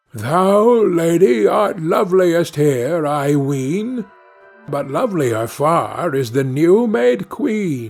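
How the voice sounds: In a put-on character voice, a man speaks slowly at a fairly high pitch, with vocal fry and lively intonation, as faint music plays in the background.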